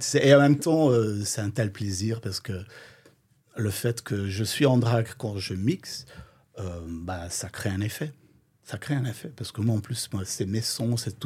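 In a very clean recording with a silent background, a man speaks at a fairly slow pace in a medium pitch. His tone is dark and mellow, somewhat breathy, with ordinary pitch variation. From Flanders, Belgium. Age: 50s. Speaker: drag queen and DJ. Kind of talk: casual interview.

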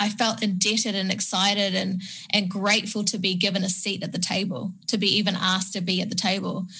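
Speaking in a New Zealand accent at a fairly quick pace with hardly any pauses, a woman uses a medium pitch, a monotone, flat intonation and a bright, sharp tone. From Penang, Malaysia, then New Zealand. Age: 30s. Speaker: media personality and entrepreneur. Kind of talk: interview, casual chat. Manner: halting, repeats words.

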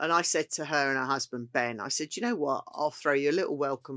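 Recorded dry and close with no echo, a woman with a very deep, low pitch speaks at a fairly quick pace. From Kent, south-east England. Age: 50s. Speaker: chef. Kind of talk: casual chat.

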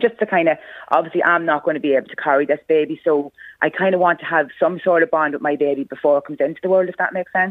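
Talking at a very fast pace, a woman with an Irish accent uses ordinary pitch variation in a very deep, low voice. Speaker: mother. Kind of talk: interview. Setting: phone call. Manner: halting.

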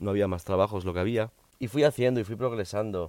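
A dark, mellow tone with ordinary pitch variation. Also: man. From Miami, US (from age four). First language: English (speaking Spanish). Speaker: YouTuber and podcaster. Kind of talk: personal storytelling monologue. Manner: halting, repetitive.

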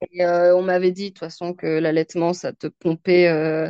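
Recorded with a dry, close sound and no echo, a woman speaks at a fairly low pitch in a dark, mellow tone. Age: 30s. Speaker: sales director and mother. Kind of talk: casual interview. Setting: remote call.

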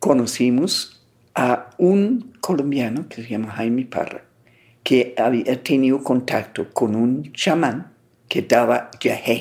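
A woman's very deep, low voice in an English accent, at a very slow pace. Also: ordinary pitch variation. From England. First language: English (speaking Spanish). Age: 80s+. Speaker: traveler and writer. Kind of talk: personal storytelling interview.

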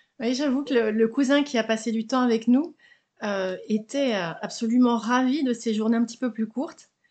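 A woman with a normal speaking voice talks at a moderate pace, her fairly high pitch showing ordinary pitch variation. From Haute-Savoie, France. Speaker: small business founder. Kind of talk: interview. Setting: home recording, window open.

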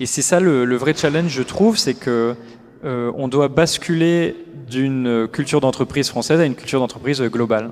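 A man's medium-pitched voice, with ordinary pitch variation, proceeds at a moderate pace while noticeable background noise carries on behind it. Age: 30s. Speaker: social enterprise executive. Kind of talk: interview. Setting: live forum event.

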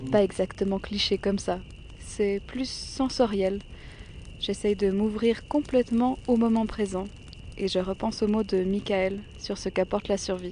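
In a plain, everyday voice, a woman speaks fairly slowly at a medium pitch. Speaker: documentary podcaster. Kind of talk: scripted narration.

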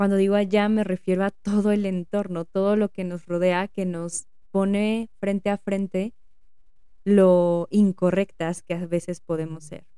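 Her voice has a dark, mellow tone at a medium pitch, as the woman talks fairly slowly with flat, monotone intonation. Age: 30s. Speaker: psychotherapist podcast host. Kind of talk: solo podcast monologue. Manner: reflective.

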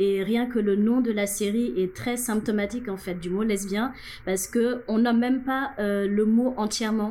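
Talking at a fairly slow pace, a woman with an unremarkable speaking voice has a fairly high pitch and fairly even intonation. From Senegal. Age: 30s. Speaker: LGBT activist. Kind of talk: interview.

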